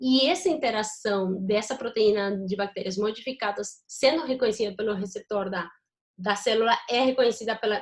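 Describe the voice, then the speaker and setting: A woman with an unremarkable speaking voice, fairly high in pitch, talks at a moderate pace with ordinary pitch variation. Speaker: university lecturer. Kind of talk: lecture. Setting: video call.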